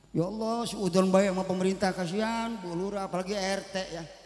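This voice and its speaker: Over noticeable background noise and audible room echo, a man with a high pitch and an animated tone talks at a moderate pace. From West Java, Karawang. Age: 60s. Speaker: preacher. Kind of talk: religious sermon.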